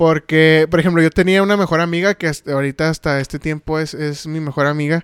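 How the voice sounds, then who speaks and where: With a Mexican accent and a fairly high pitch, a man speaks very fast with hardly any pauses and monotone, flat intonation, in a dry, close sound with no echo. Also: very clean recording, silent background. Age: 20s. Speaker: podcast co-host. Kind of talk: casual chat.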